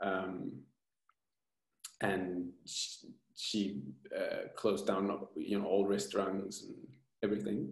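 A man's low-pitched voice with vocal fry and little pitch movement, at a slow pace with long, frequent pauses and audible room echo

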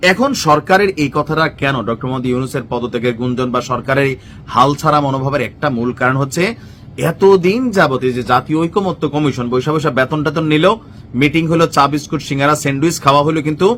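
A man's fairly high-pitched, normal speaking voice with ordinary pitch variation. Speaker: political commentator. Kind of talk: political commentary monologue. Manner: conversational, informal.

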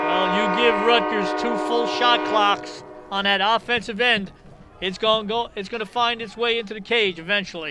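This man keeps a moderate pace while noticeable background noise surrounds him. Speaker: color commentator. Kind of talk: live sports commentary. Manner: conversational, relaxed analysis with chuckles.

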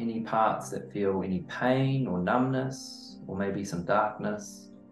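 Very slow speech from a man with ordinary pitch variation, audible room echo and faint music in the background. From New Zealand. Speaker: men's mindset and growth coach. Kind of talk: guided meditation. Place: home room.

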